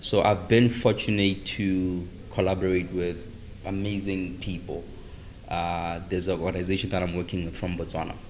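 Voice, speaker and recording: With audible room echo, a man speaks at a moderate pace in a very deep, low pitch and a monotone, flat intonation. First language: not English. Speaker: organization founder, guest. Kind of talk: interview conversation.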